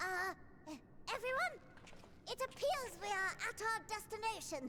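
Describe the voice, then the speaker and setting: This put-on character voice is squeaky and extremely high-pitched, delivered at a moderate pace. There is loud background noise behind it. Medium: video game.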